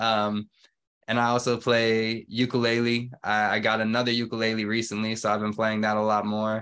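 A man speaks in an ordinary speaking voice at medium pitch and a moderate pace, against a quiet background. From Georgia, US (Stone Mountain area). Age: 20s. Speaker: musician and sound engineer. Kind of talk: interview.

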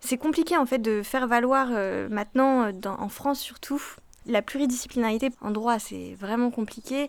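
On a very clean recording with a silent background, a woman speaks at a high pitch and a fairly slow pace with ordinary pitch variation. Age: 20s. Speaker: law student. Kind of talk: interview testimony.

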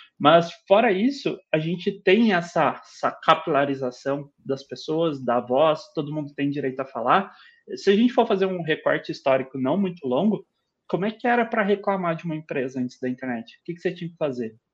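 His pitch sits high for a man, and his intonation is lively. The man keeps a moderate pace. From Brazil, southern Minas Gerais (Itajubá). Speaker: product designer and teacher. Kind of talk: casual interview chat.

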